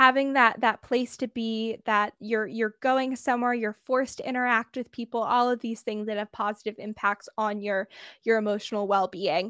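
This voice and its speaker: With an American accent, a woman speaks at a fairly high pitch in a bright, sharp tone, with fairly even intonation, a moderate pace and hardly any pauses. The sound is dry and close with no echo, and the recording is very clean, with a silent background. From US West Coast, Bay Area. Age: under 20, just graduated high school. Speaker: podcast host sharing mental health story. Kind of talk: interview, personal testimony.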